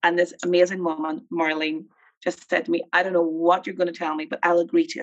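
Speaking with a Northern Irish accent, a woman goes at a very fast pace. Her pitch is fairly low and her intonation fairly even. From Northern Ireland, Armagh. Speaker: film producer and nonprofit chief executive. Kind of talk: interview conversation. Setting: video call.

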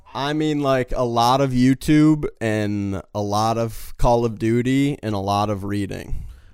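An unremarkable speaking voice from a man of medium pitch, at a fairly slow pace with hardly any pauses and ordinary pitch variation. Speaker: podcaster. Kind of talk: casual chat. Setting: video call.

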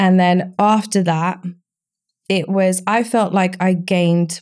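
A woman with an Essex accent, medium pitch and fairly even intonation, on a very clean recording with a silent background. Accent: southern English (Essex). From Essex, England (Romania until age seven). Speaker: recruitment business owner. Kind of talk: casual interview.

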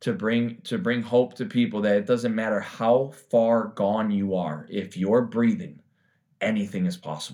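A man's plain, everyday voice in an American accent, medium in pitch, with lively intonation and a fairly slow pace, on a very clean recording with a silent background. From Chicago, US Midwest. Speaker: recovering addict and triathlete. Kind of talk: interview testimony.

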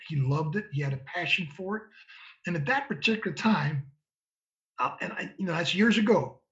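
With an American accent, this man has an unremarkable speaking voice, lively intonation and a moderate pace. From Michigan, Ann Arbor. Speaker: former football scout and college coach. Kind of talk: interview conversation.

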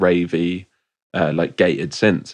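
A man with a West Country accent speaks in a very deep, low pitch. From England, Bristol. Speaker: DJ and producer. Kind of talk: casual chat.

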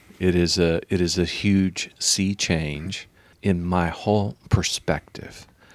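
Intonation stays fairly even at a very slow pace in a very clean recording with a silent background. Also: man, very deep, low pitch for a man. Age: 50s. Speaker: pastor. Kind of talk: interview. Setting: pastor's study.

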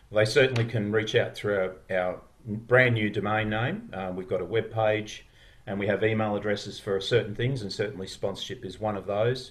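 A man with an Australian accent talks at a moderate pace in a fairly low, somewhat breathy voice. His intonation stays fairly even. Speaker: podcast founder. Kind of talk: casual chat. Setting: video call.

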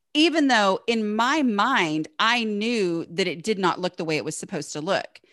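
A woman speaks with a Southern US accent and very wide pitch swings. She hardly pauses at all. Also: medium pitch for a woman, moderate pace. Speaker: blogger and author on home organizing. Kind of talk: casual interview chat.

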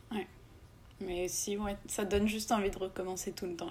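Here is a woman with a plain, everyday voice. She talks at a moderate pace and a medium pitch. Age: 20s. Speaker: entrepreneur. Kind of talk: interview.

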